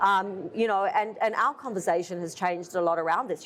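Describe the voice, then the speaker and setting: Someone with an Australian accent talks fairly quickly with ordinary pitch variation against noticeable background noise. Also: woman. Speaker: furniture company owner. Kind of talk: interview. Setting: trade conference.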